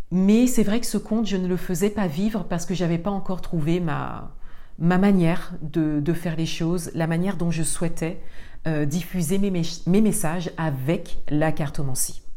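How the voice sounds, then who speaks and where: A woman with a dark, mellow tone speaks at a moderate pace with ordinary pitch variation, and audible room echo surrounds her voice. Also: fairly low pitch for a woman. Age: 40s. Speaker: spiritual podcast host. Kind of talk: solo monologue. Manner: halting.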